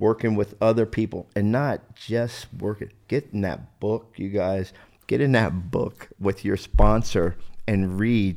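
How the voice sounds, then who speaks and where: Speaking at a fairly slow pace, a man with a normal speaking voice has a fairly low pitch and ordinary pitch variation. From South Jersey, US. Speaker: recovering addict and army veteran. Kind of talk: testimony.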